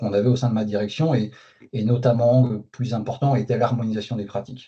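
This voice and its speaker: With a somewhat breathy quality, a man talks at a medium pitch. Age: 40s. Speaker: company manager. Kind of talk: interview. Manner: hesitant, many fillers.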